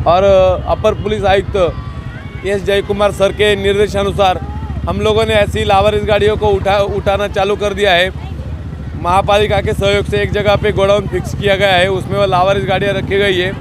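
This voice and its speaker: Amid noticeable background noise, a man speaks at a fairly slow pace, the sound dry with no echo. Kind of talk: press statement to local news. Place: street.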